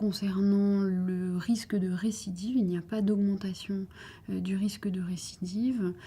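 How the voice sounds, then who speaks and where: A woman speaks fairly slowly at medium pitch, her tone dark and mellow. Her voice is somewhat breathy, and her intonation is monotone and flat. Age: 30s. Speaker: breast cancer surgeon. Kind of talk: interview answer.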